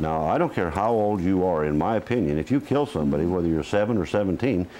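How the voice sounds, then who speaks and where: A man with a Midwestern US accent speaks very fast in a very deep, low voice, his dark, mellow tone holding very even loudness and lively intonation over a quiet background. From Iowa, US Midwest. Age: 60s. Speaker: retired highway patrol officer. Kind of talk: interview.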